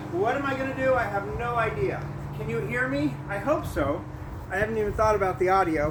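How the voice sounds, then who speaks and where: Loud speech in an American accent at a fairly quick pace, with very wide pitch swings, audible room echo and noticeable background noise. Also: man, high pitch for a man. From Southern California. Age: 50s. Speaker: vlogger. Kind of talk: casual vlog talk.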